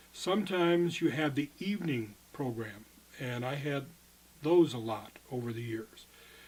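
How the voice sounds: A man speaks at a fairly slow pace with medium pitch and ordinary pitch variation. His voice has a slightly husky edge and a slightly mellow tone.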